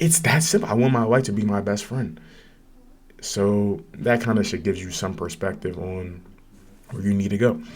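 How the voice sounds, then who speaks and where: Speech at a moderate pace, with long, frequent pauses and ordinary pitch variation, rings with audible room echo. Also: man, fairly low pitch for a man. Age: young. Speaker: podcast host. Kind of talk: casual chat. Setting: livestream with chat. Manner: animated.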